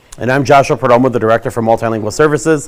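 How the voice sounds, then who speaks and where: A man talks over noticeable background noise. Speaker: school district administrator. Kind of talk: bilingual information presentation. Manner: fast.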